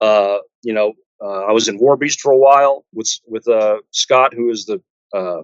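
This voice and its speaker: In a Texan accent, a man talks at a medium pitch with fairly even intonation. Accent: Texan American. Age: 60s. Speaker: metal guitarist. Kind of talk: interview. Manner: halting, many fillers.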